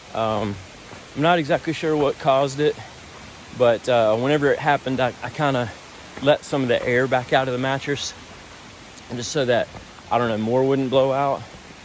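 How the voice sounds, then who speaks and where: Noticeable background noise surrounds a man who is soft-spoken. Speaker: long-distance hiker vlogger. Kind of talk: casual vlog narration. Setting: outdoors on a hiking trail.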